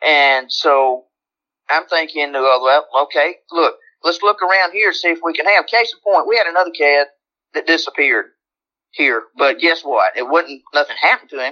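Speaking in a Southern US accent, a woman uses a fairly low pitch with ordinary variation at a moderate pace. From Alabama. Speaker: longtime neighborhood resident, retired healthcare worker. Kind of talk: interview. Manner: animated.

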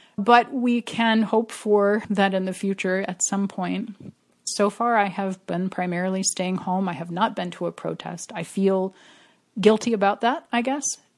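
A woman's normal speaking voice at medium pitch, fairly slow and with fairly even intonation. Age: 50s. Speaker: editor and writer. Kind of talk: personal testimony.

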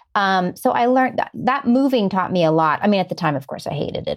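At a fairly quick pace, a woman talks in a normal speaking voice. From US Midwest, Ohio. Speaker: screenwriter and producer. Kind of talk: interview. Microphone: good quality audio.

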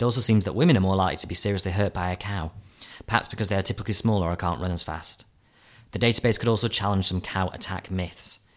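A man's very deep, low voice at a very fast pace, with ordinary pitch variation, on a very clean recording against a silent background. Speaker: journalist. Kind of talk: reading aloud.

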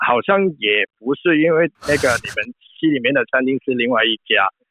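A man talks with a Cantonese accent. His intonation is lively and his pace fairly slow. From Hong Kong. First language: Cantonese (speaking Chinese). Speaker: film art director. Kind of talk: interview. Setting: remote phone call.

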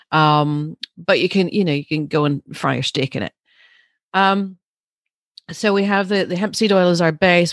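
A woman talks in an animated tone at a moderate pace, her fairly low voice showing ordinary pitch variation. The sound is dry and close with no echo, and the background is quiet. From Northern Ireland; Larne, East Antrim. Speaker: pet wellness business owner. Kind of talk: casual interview chat. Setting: video call. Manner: animated, laughs often.

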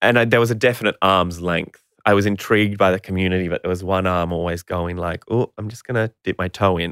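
A man speaks at a very fast pace in a very deep, low pitch with fairly even intonation. The recording is very clean with a silent background. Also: dry, close sound with no echo. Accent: Australian. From Queensland, Australia. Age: 30s. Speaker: actor and children's TV presenter. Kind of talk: interview.

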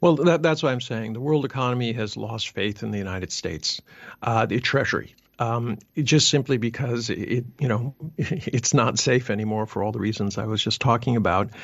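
A man's unremarkable speaking voice at medium pitch and moderate pace, with ordinary pitch variation and a quiet background. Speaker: think tank analyst. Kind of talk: interview answers on economy.

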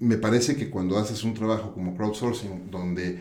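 In a room with audible echo, a man speaks with a dark, mellow tone at a fairly low pitch, his pitch varying in an ordinary way. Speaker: podcast host. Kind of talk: interview.

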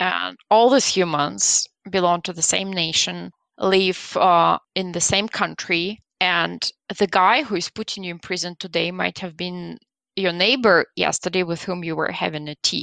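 A woman's fairly low voice with a Belarusian accent, bright and sharp in tone, at a fairly slow pace, dry and close with no echo over a quiet background. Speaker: guest from Belarus. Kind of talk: casual interview.

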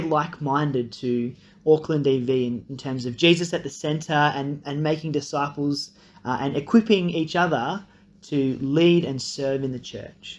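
At a moderate pace, a man with an Australian accent speaks in a fairly high voice. His pitch varies in an ordinary way. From Australia (grew up partly in Nepal). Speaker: incoming church pastor. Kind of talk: recorded video introduction.

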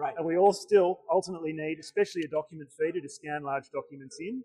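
With an Australian accent, a man talks at a very fast pace and fairly high pitch, the sound dry and close with no echo. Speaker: tech vendor representative. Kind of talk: conference booth interview. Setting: conference vendor hall.

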